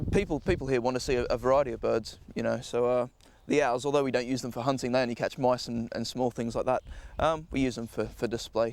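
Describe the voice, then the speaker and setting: Speaking at a very fast pace, a man holds a medium pitch with fairly even intonation. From Australia, Sydney. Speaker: falconer. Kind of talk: interview. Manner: halting, many fillers and repeats.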